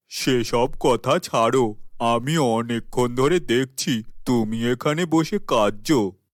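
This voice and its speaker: In a cartoonish character voice at a medium pitch, a man talks at a very slow pace with very even loudness, on a very clean recording with a silent background. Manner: smooth, manipulative.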